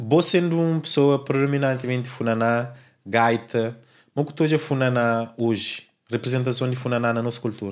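The man talks at a moderate pace, his intonation fairly even, with a quiet background. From Cape Verde. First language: Cape Verdean Creole (speaking Portuguese). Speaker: podcast host. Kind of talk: interview. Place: studio. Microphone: studio mic.

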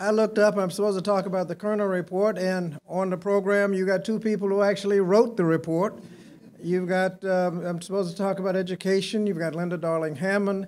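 With light background noise behind him, a man speaks fairly quickly in a high voice with a monotone, flat delivery. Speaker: speaker. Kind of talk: speech with anecdote. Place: hall. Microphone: podium.

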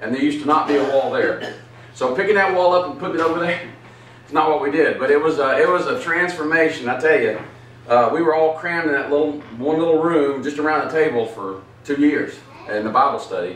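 A man's fairly high pitch with ordinary pitch variation at a fairly quick pace, against noticeable background noise. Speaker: pastor. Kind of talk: Bible study teaching. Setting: church.

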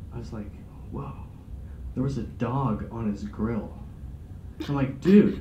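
A man with an American accent and vocal fry has a dark, mellow tone, heard with audible room echo and light background noise. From Sacramento, California. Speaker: stand-up comedian. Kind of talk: stand-up comedy, dark one-liners with a live audience. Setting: stage with audience. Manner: cocky, shock-humor banter with the audience. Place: meeting room. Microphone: camera far.

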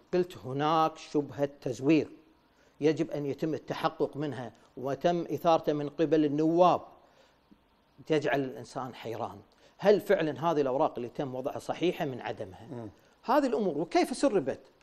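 This man's voice sits fairly high, with ordinary pitch variation. He keeps a moderate pace. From Kuwait. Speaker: former member of parliament. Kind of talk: TV interview. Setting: studio. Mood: critical, questioning. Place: studio. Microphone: lapel.

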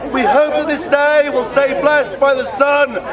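With crowd noise behind him, a man speaks loudly at an extremely high pitch. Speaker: town crier. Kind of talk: town crier proclamation in rhyming verse. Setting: outdoors at a festival. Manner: loud, projected, ceremonial. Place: open country. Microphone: handheld.

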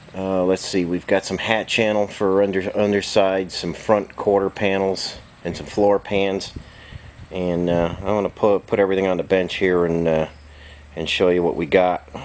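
Over light background noise, a man speaks at a moderate pace. His very deep, low pitch holds a monotone, flat intonation. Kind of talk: casual workshop commentary. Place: workshop. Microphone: phone near.

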